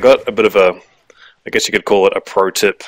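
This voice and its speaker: This man has an Australian accent. He talks in a fairly low register. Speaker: gaming YouTuber. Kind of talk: gameplay commentary. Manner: hesitant, many fillers.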